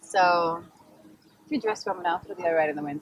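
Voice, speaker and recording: A woman speaks with an Australian accent. Her pitch sits fairly low. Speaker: model and actress. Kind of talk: casual chat.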